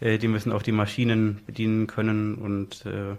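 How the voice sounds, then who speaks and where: Delivered at a moderate pace, the speech has a monotone, flat intonation on a very clean recording with a silent background. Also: man. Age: 20s. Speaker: blind sheltered-workshop worker. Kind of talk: casual interview. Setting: studio.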